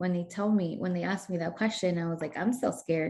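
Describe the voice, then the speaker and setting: Here a woman talks at a very fast pace with a slight Spanish accent. Her pitch is medium. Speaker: community organizer. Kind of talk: interview. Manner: animated.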